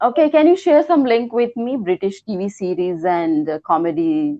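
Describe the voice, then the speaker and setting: Speaking at a moderate pace in an Indian accent, a woman with a medium pitch makes very wide pitch swings. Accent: Indian, clear. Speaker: English learner. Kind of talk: one-to-one lesson. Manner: halting.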